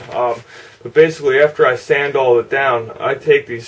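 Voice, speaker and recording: A man at a moderate pace with monotone, flat intonation over noticeable background noise. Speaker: model car hobbyist YouTuber. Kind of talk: casual video update and tutorial. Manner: halting, many fillers.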